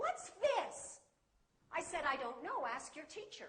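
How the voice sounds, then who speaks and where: A woman speaks in an extremely high, raised and projected voice with a bright, sharp tone. Her pitch swings very widely. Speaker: English teacher. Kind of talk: public speech to an audience.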